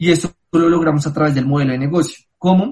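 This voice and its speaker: A man speaks with a high pitch. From Colombia. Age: 20s. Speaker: travel company founder. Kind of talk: interview.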